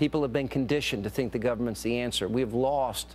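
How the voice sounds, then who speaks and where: This is a normal speaking voice. The intonation is lively. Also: man. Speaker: TV news talk show host. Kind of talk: TV panel discussion.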